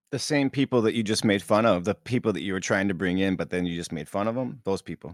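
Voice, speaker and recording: A man at a fairly low pitch, very fast pace and hardly any pauses, with ordinary pitch variation and a dry, close sound with no echo. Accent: American. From Minnesota, US Upper Midwest. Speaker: podcast co-host. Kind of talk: casual banter chat.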